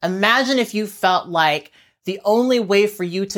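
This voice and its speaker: A normal speaking voice from a woman, moderate in pace and ordinary in pitch variation. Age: 30s. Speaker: YouTuber and podcast host. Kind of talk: solo vlog monologue. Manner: conversational.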